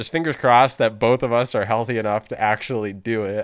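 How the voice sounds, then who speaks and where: Noticeable background noise behind a man's fairly quick, medium-pitched speech. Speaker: pokemon card game podcast co-host. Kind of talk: casual chat.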